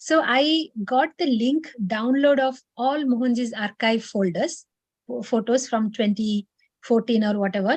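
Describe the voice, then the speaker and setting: Speaking at a fairly slow pace in an Odisha accent, a woman uses a high pitch with ordinary pitch variation. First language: Odia. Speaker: meditation session leader. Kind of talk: personal testimony. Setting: video call. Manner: hesitant, many fillers.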